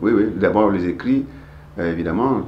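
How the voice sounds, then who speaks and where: A man speaks with lively intonation. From Cameroon. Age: 60s. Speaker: writer and civil rights activist. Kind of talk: interview answer.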